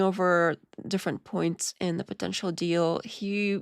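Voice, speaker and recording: At a fairly slow pace, a woman is heard in a dry, close sound with no echo on a very clean recording with a silent background. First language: not English. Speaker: live-stream reaction host. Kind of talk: live reaction commentary. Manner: casual, halting with restarts.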